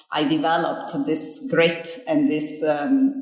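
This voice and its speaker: Spoken with a slight Italian accent and ordinary pitch variation, the voice comes with audible room echo and noticeable background noise. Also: woman. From Italy. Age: 50s. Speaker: business school dean. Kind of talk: interview.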